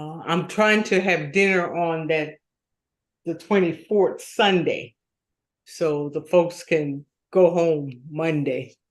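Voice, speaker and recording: Speaking very slowly, a woman uses a fairly low pitch. Her intonation is fairly even. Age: 60s. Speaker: co-host. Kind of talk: casual chat.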